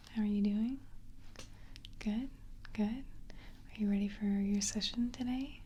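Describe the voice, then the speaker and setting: The speaker is soft-spoken. The pace is very slow. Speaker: ASMR hypnotist (role play). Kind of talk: ASMR hypnosis role play, guided relaxation. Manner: soft-spoken, slow, quiet.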